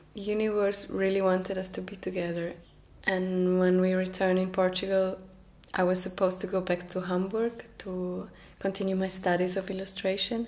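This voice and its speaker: In a Norwegian accent, a woman talks at a moderate pace and medium pitch, her intonation monotone and flat. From Norway. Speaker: documentary narrator. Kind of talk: documentary narration.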